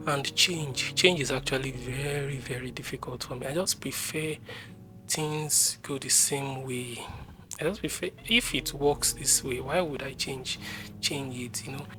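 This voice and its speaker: Over music in the background, a woman speaks at a fairly slow pace in a very deep, low pitch with ordinary pitch variation. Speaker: vlogger. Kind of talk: personal testimony to camera. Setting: recording to camera. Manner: halting.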